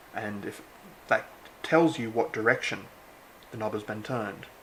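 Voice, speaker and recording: A man talks in a relaxed tone. He has an Australian accent. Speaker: electronics hobbyist. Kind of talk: casual unboxing talk to camera. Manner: casual, relaxed.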